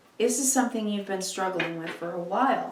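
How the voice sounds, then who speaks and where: Lively intonation comes through noticeable background noise and audible room echo. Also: woman. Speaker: tarot reader. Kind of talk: tarot reading.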